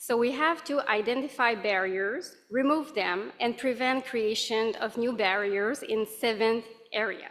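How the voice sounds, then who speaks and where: A woman's fairly high voice in a French accent, fairly slow, with ordinary pitch variation and very even loudness. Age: 40s. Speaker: accessibility advisor. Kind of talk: conference presentation.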